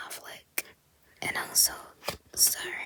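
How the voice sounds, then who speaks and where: Someone female speaks in a whisper. Behind her, background noise is noticeable. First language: Japanese. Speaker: ASMR content creator. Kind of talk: ASMR-style whispered talk about movie flyers. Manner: soft, whispered, hesitant, with filler words.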